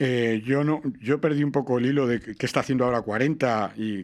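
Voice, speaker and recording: A man's medium-pitched voice at a fairly quick pace with ordinary pitch variation, on a very clean recording with a silent background. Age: 60s. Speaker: radio presenter. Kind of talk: interview conversation. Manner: animated.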